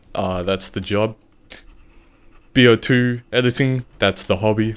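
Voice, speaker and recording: With an Australian accent, a man talks at a fairly slow pace in a medium pitch with fairly even intonation. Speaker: video editor. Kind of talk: casual chat.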